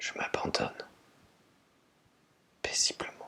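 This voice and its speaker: A man whispering at a very slow pace, with noticeable background noise. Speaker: energy healer and meditation guide. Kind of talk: guided meditation. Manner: whispered, slow, calming.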